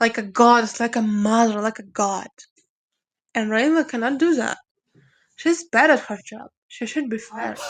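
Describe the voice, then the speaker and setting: A woman's fairly high voice with a non-native accent, big swings in loudness, and long, frequent pauses. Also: ordinary pitch variation, moderate pace, quiet background. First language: not English. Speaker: viewer sending a voice message. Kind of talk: recorded voice message.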